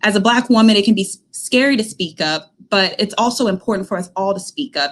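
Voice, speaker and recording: Delivered at a fairly quick pace with ordinary pitch variation, this is a plain, everyday voice. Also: woman, medium pitch for a woman. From US South, Alabama. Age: 20s. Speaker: news station manager. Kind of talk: personal testimony.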